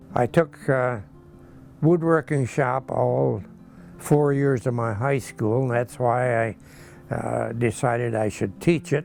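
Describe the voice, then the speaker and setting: A man with an American accent, medium-pitched and fairly slow, with ordinary pitch variation over music in the background. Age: 80s+. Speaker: farmer. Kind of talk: interview answer.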